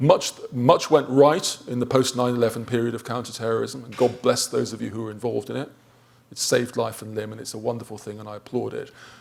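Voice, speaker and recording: Speaking at a very fast pace with vocal fry, a man keeps a medium pitch and fairly even intonation while his loudness swings widely. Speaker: professor, conference panelist. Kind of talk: conference panel talk.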